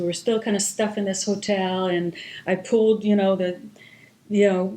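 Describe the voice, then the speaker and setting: This woman speaks with an Israeli accent in a dark, mellow tone and a monotone, flat intonation. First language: Hebrew. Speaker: marketing executive. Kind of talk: interview, personal story. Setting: podcast.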